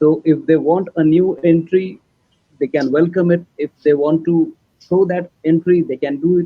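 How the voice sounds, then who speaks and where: This man has a high-pitched voice and talks at a moderate pace. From India, Maharashtra. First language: Marathi. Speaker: filmmaker. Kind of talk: panel discussion.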